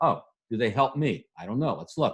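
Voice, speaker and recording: Somewhat breathy, a man with a fairly high pitch speaks with lively intonation. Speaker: business coach and webinar presenter. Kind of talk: webinar presentation. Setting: live webinar. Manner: fast.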